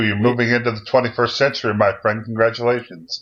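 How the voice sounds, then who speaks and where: A man's fairly quick delivery with fairly even intonation. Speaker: podcast co-host. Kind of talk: casual chat.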